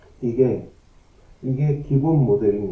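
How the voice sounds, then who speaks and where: A man's somewhat breathy voice has a dark, mellow tone and fairly high pitch with ordinary variation. Audible room echo is present. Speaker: lecturer on own science theories. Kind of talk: lecture. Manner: slow; halting.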